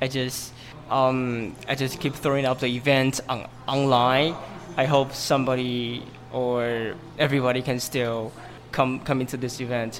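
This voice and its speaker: Over noticeable background noise, a man in a Mandarin accent speaks at medium pitch with monotone, flat intonation. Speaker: English teacher and study group organizer. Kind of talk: interview. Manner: halting.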